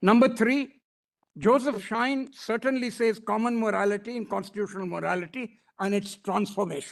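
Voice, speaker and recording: A man with a high voice talks at a fairly quick pace with ordinary pitch variation. The background is quiet. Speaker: senior advocate. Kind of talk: courtroom argument. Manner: fast.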